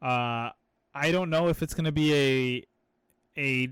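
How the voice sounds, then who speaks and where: Against a silent background, a man's voice is captured on a very clean recording. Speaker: anime podcast co-host. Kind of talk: casual chat. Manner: animated.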